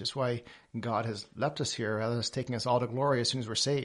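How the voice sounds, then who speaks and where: A man with an American accent, an ordinary speaking voice, medium pitch and ordinary pitch variation, over a quiet background. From Papua New Guinea, English family, American schooling. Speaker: missions leader. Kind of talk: interview.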